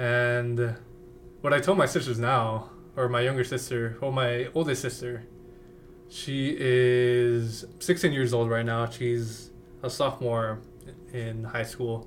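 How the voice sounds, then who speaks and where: A medium-pitched man with an American accent at a very slow pace, with audible room echo. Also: fairly even intonation. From Western Colorado. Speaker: university student. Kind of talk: interview.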